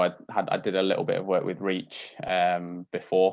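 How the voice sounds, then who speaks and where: The speaker has a Yorkshire accent and a monotone, flat intonation. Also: man. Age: 20s. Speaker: doctor and Paralympian. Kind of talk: casual talk on a video call. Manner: hesitant, many fillers.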